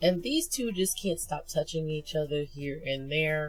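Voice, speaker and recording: There is music in the background. The talking goes at a fairly slow pace. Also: woman. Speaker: webcomic reviewer. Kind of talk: casual talk to camera. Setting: muffled audio.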